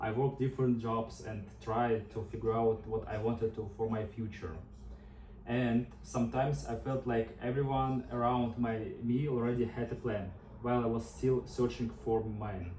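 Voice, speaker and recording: This man has a medium pitch and a Russian accent. He speaks at a moderate pace with fairly even intonation. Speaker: nursing student. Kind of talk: class speech. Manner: prepared, slightly halting.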